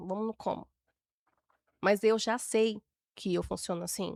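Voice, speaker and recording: Recorded very cleanly with a silent background and a dry, close sound with no echo, a woman speaks at a moderate pace with a fairly high pitch and monotone, flat intonation. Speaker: temperament expert, podcast guest. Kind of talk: interview conversation.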